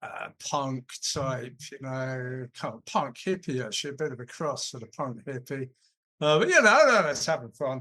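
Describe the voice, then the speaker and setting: A fairly slow man's voice in an English accent, fairly high in pitch, with a bright, sharp tone. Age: 60s. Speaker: vegan event organiser. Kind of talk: podcast interview.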